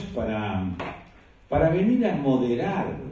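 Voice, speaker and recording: A man speaking at a very slow pace, with audible room echo. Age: 60s. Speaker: panel moderator, journalist. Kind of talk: panel discussion talk.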